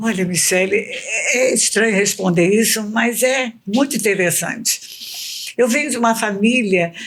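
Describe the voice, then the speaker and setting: With noticeable background noise, a woman talks at a fairly slow pace with hardly any pauses, her fairly high pitch showing ordinary variation and her loudness very even. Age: 70s. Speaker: retired teacher and educational counselor. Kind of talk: casual chat.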